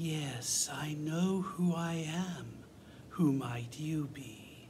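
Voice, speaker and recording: At a very slow pace and a middle pitch, someone performs a put-on character voice over clear background noise. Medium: audio drama. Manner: dry, imperious.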